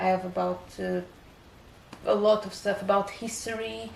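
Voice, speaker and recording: A woman with a slight non-native accent, amid audible room echo and noticeable background noise. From Portugal, Cape Verdean family. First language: Portuguese. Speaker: book vlogger. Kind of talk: casual vlog talk. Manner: hesitant, many fillers.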